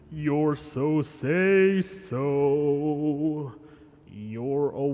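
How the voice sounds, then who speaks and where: This is a put-on character voice with a low-to-middle pitch. It moves at a very slow pace. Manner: grandiose.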